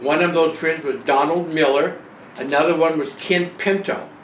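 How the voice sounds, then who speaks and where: A man with a fairly high pitch keeps a moderate pace and fairly even intonation, with audible room echo and noticeable background noise around him. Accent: American. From northern California (Bay Area). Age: 70s. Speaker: retiree telling his life story. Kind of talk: personal memoir monologue. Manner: halting, many fillers.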